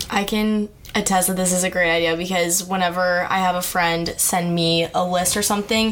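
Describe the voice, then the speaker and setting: Against noticeable background noise, a woman speaks in a monotone, flat intonation at a medium pitch and a moderate pace. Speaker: student podcast host. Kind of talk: interview.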